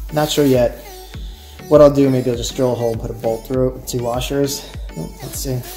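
Fairly quick speech over faint music in the background. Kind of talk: tutorial. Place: garage. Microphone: camera far.

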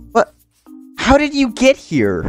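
A man is speaking. Music plays in the background. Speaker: Minecraft let's play YouTuber. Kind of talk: casual gameplay commentary. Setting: home microphone, poor audio quality.

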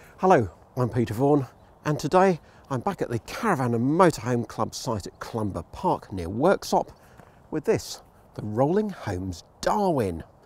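Here a man talks at a moderate pace with very wide pitch swings. The sound is dry, with no echo. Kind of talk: vehicle review presentation. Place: open country.

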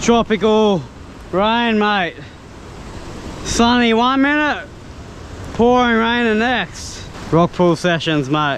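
The voice has a fairly bright tone and lively intonation, moving at a slow pace with long, frequent pauses over faint background noise. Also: man, high pitch for a man.

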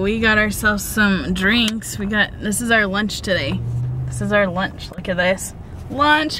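Over noticeable background noise, a woman speaks fairly slowly with ordinary pitch variation, the sound dry with no echo. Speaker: vlogger. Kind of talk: casual chat. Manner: animated. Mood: cheerful, relaxed.

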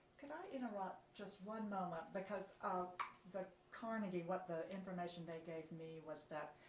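A woman talks at a moderate pace with ordinary pitch variation. Noticeable background noise is present. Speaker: interviewer. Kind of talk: oral history interview. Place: home room.

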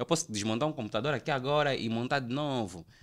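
A man talks fairly quickly against a quiet background. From Angola, Luanda; Angola. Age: 30s. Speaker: photographer and graphic designer; podcast guest. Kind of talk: casual chat. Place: studio. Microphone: studio mic.

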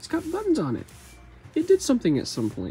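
Music plays in the background as a man speaks. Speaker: toy collector vlogger. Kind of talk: casual vlog chat. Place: shop. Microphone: phone near.

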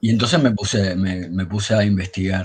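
A man with a fairly low pitch, a somewhat breathy voice and a fairly slow pace. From Havana, Cuba; Cuba. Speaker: blogger and amateur historian; blogger. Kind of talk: storytelling history talk. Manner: halting. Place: home room. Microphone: video call.

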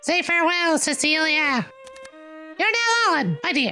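A squeaky, put-on character voice speaks at a high pitch. Clear music plays in the background. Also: moderate pace. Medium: game stream.

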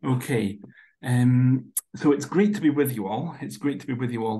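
A man with a Scottish accent and vocal fry, at a moderate pace, over light background noise. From Scotland. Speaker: workshop facilitator. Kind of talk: workshop presentation. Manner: soft-spoken; halting. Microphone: video call.

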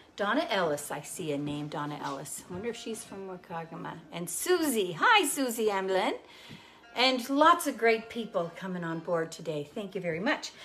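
A woman's voice swings widely in loudness while faint music plays in the background. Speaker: cooking show host. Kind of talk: casual live-stream cooking chat. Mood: cheerful, chatty. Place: kitchen. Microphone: lapel.

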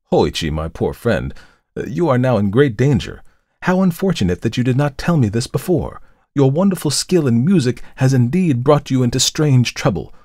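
Putting on a gravelly character voice, a man speaks at a moderate pace and medium pitch with very wide pitch swings. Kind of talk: formal archaic speech. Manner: gentle, concerned, gravely warning.

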